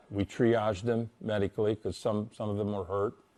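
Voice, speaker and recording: This man talks at a moderate pace with a fairly low pitch and monotone, flat intonation. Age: 70s. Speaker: former prison warden. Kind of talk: interview recollection. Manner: halting, with many repeated words and fillers.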